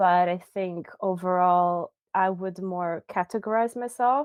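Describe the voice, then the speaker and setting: Medium pitch from a woman, a fairly slow delivery, and ordinary pitch variation. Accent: Croatian. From Croatia. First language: Croatian. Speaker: designer and researcher. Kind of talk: interview.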